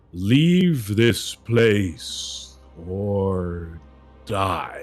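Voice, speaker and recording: Faint music plays behind a man putting on a character voice. It is fairly low-pitched and rumbling. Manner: loud.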